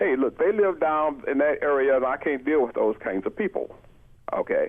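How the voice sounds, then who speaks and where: Keeping a very even loudness, a man with an American accent speaks at a moderate pace. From Florida. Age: 60s. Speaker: economics professor. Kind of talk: radio interview.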